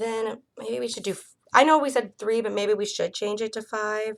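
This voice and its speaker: A woman speaks at a fairly quick pace. Her voice sits at a medium pitch. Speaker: student teacher tutoring a child. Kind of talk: one-on-one reading lesson. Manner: fast; casual, filler-heavy.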